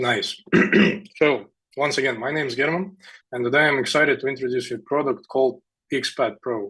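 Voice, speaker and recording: His tone bright and sharp, a man at medium pitch talks at a fairly quick pace with fairly even intonation and long, frequent pauses. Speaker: startup founder pitching. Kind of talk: sales pitch.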